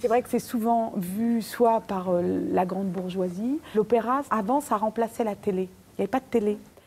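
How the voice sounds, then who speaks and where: A woman speaks at a moderate pace with a fairly high pitch and ordinary pitch variation. Her tone is dark and mellow, and somewhat breathy. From Paris suburbs, Nanterre. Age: 50s. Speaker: opera singer. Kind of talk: casual chat.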